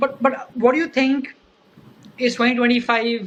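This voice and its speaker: A woman talks with an Indian accent at a moderate pace. Her pitch is fairly high. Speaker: podcast host. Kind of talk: interview.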